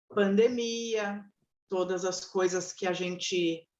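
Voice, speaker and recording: This woman's intonation stays fairly even while she talks at a very slow pace. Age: 60s. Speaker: live moderator, psychologist. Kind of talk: live webinar moderation. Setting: online live stream.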